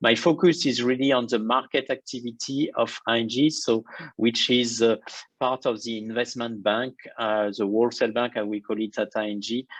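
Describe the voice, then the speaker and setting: Over a quiet background, a man speaks with a French accent. His medium-pitched voice moves at a moderate pace with fairly even intonation. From France. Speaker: banking innovation executive. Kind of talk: interview.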